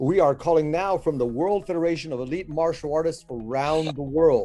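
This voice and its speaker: With music in the background, a man talks at a fairly quick pace with hardly any pauses. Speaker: martial arts instructor, interview host. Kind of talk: casual interview talk.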